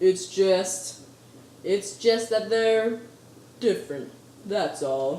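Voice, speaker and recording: A rumbling put-on character voice at a middle pitch, very slow with long, frequent pauses, in slight echo. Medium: read story. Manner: grumbling.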